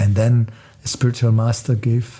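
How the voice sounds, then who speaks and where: Somewhat breathy and with a dark, mellow tone, a man speaks in a non-native accent. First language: not English. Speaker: spiritual musician. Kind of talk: talk on meditation. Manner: halting.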